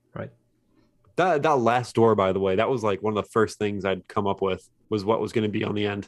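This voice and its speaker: At a fairly quick pace, a man talks in a plain, everyday voice, fairly low in pitch with ordinary pitch variation. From West Virginia (Fairmont). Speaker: indie game developer. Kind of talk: casual interview.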